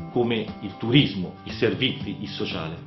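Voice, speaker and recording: A man with a northern Italian accent and lively intonation, clear music behind him and audible room echo. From Lombardy, northern Italy. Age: 40s. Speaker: mayoral candidate. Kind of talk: political campaign address to camera. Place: studio.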